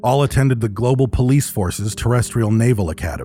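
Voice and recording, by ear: A passage is read out loud in a natural voice.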